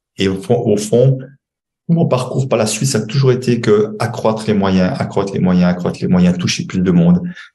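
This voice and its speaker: A man speaks with lively intonation in a room with audible echo. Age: 60s. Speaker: money coach and author. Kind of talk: podcast interview. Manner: hesitant, many fillers and repetitions.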